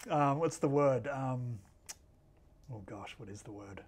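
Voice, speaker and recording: With quiet surroundings, he talks at a moderate pace. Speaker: filmmaker and actor. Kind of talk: interview questions, casual conversation. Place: studio. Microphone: lapel.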